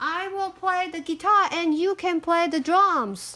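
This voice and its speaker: A woman's put-on character voice at an extremely high pitch, delivered at a fairly slow pace. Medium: read story.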